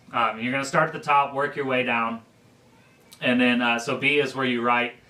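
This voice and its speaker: Noticeable background noise sits behind a man's voice. He speaks in a medium pitch with monotone, flat intonation. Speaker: church teacher. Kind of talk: teaching class on budgeting. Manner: fast.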